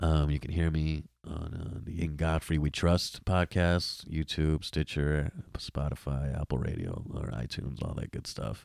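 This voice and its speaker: A man with an American accent speaks at a fairly slow pace in a very deep, low pitch with fairly even intonation. The recording is very clean with a silent background. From New York. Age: 20s. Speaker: comedian and podcaster. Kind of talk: casual chat.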